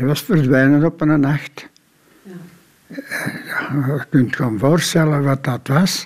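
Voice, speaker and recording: A man speaks at a very slow pace in a fairly high pitch. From Belgium, Antwerp. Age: 80s+. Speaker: Korean War veteran. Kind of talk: interview testimony.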